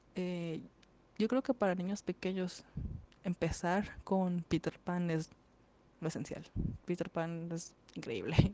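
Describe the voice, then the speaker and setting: Speaking very slowly with long, frequent pauses, a woman uses a fairly low pitch, a dark, mellow tone and ordinary pitch variation, in a dry, close sound with no echo. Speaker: podcast host. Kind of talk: casual monologue. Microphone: poor home audio.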